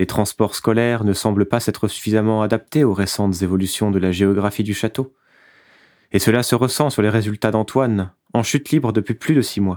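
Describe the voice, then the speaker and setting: A man uses a normal speaking voice at a fairly low pitch and fairly quick pace, with fairly even intonation. The recording is very clean with a silent background, dry and close with no echo. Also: very even loudness. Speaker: narrator. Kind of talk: dramatic scripted narration of a fable, solemn and ironic. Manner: measured, theatrical, solemn with ironic edge.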